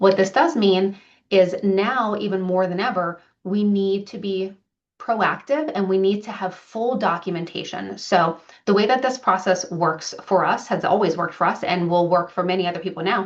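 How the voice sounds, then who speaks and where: At a moderate pace, an ordinary speaking voice delivers its words with ordinary pitch variation. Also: woman, medium pitch for a woman. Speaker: property manager presenting to landlords. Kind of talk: business presentation to clients.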